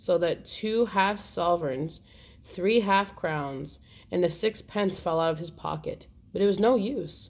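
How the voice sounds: In a natural reading voice, the speaker uses ordinary pitch variation.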